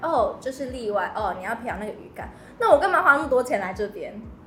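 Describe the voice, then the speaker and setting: Amid noticeable background noise and audible room echo, a woman in a Taiwanese accent talks at a fairly quick pace. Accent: Taiwanese Mandarin. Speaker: podcast host. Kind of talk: casual chat.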